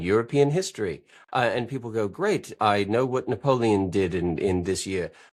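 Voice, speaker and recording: An American accent with lively intonation at a moderate pace. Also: man. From central Wisconsin. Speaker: podcast guest, money mindset commentator. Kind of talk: casual interview chat.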